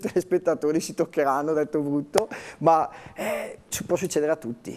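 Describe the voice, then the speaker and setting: The man speaks with a high pitch. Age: 30s. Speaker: interview guest. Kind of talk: TV interview. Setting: TV studio. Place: studio. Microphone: lapel.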